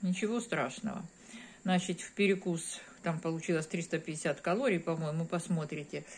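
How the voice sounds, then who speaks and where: Over light background noise, a woman talks at a moderate pace with a fairly low pitch. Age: 50s. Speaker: video blogger. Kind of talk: casual vlog. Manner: warm, chatty. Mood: relaxed, friendly. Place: home room. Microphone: phone near.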